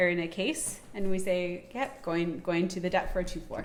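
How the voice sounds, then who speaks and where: With music playing in the background, a woman talks at a medium pitch in a Canadian accent. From Canada. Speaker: podcast co-host and marketing consultant. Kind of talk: casual chat.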